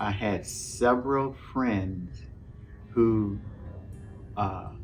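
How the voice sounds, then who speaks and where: A man speaks with a Southern US accent at a fairly low pitch and ordinary pitch variation. The room echo is audible, and music plays in the background. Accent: Southern US (Georgia). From US South, Thomson, Georgia. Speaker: interviewee, Vietnam-era man. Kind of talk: oral history interview.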